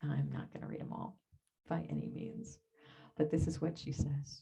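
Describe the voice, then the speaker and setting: A soft-spoken woman talks. Her pace is moderate. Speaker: minister. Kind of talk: sermon. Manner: emotional, voice drops. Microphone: far from the mic, hard to hear.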